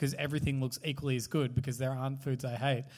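A man speaks with an Australian accent. The recording is very clean, its background silent. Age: 30s. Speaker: podcast host. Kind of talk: live podcast chat. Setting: stage with audience.

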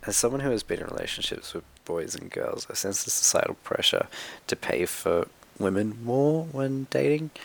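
This man has an Australian accent. He speaks at a moderate pace. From Sydney, Australia. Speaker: media producer. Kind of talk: recorded personal testimony.

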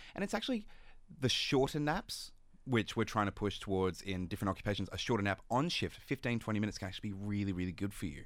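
The recording is very clean with a silent background. A man talks very fast at a fairly low pitch with ordinary pitch variation. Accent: Australian. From Sydney, Australia. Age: 20s. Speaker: neuroscience PhD candidate. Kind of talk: radio interview.

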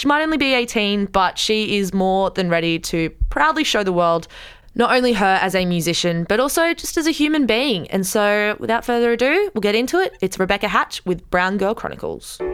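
With an Australian accent, a woman talks at a fairly quick pace with hardly any pauses, very wide pitch swings and very even loudness. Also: medium pitch for a woman. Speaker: radio podcast host. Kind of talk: casual chat. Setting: studio.

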